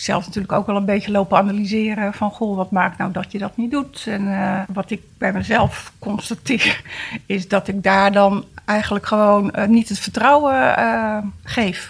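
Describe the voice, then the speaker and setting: A woman speaks at a moderate pace and medium pitch, her voice somewhat breathy. Her intonation stays fairly even. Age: 50s. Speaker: guest with a personal problem. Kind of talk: casual chat.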